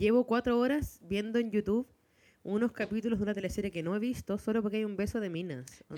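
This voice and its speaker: A woman speaks very fast in a Chilean accent, her medium-pitched voice having a dark, mellow tone. Her pitch variation is ordinary, and the sound is dry and close with no echo. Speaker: podcast co-host. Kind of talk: casual chat.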